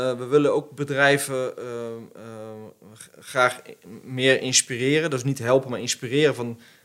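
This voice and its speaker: This man speaks at a medium pitch with a bright, sharp tone and flat, monotone intonation. His fairly slow delivery has long, frequent pauses and big swings in loudness. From Netherlands, Arnhem region. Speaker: business owner, CEO of plastics recycling company. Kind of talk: casual chat. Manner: hesitant, many filler sounds.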